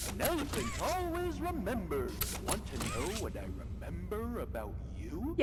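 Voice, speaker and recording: Loud background noise accompanies a put-on character voice. The pace is moderate. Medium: game stream.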